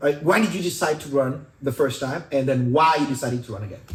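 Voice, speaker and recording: Speaking with an East African accent, a man uses an animated tone and a fairly high pitch. Noticeable background noise runs behind him. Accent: East African accent, noted dialect. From Kenya. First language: not English. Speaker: podcast host and stand-up comedian. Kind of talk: casual interview.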